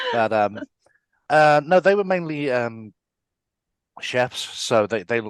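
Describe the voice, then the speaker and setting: A man with an English accent speaks at a fairly slow pace with ordinary pitch variation. The sound is dry and close with no echo, against a quiet background. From England (London, Wales, Essex). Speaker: artist and designer. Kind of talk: casual interview chat.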